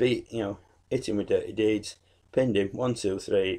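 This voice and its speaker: A man talks in a British accent. The background is quiet. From UK. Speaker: YouTuber, wrestling reviewer. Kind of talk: casual video review monologue. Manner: many fillers (um, uh).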